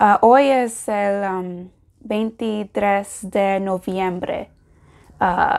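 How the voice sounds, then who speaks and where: Against a quiet background, the speaker talks at a very slow pace with an English accent and fairly even intonation. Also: woman. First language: English (speaking Spanish). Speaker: language learner vlogger. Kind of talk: casual vlog. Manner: halting, many fillers. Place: home room. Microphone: lapel.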